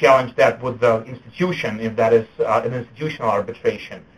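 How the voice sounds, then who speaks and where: The man's voice stays at a medium pitch, its intonation fairly even. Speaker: lawyer. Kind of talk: webinar presentation. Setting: web conference. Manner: halting, many fillers.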